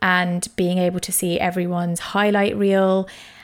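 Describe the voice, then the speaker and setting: A woman with a London accent at a fairly slow pace, on a very clean recording with a silent background. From East London. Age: 20s. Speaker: podcast host. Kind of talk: solo personal monologue.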